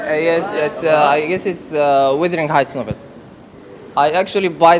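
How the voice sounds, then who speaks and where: There is noticeable background noise behind a man speaking. He has a fairly high pitch and an Arabic accent. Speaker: student. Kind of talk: classroom contribution. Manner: halting.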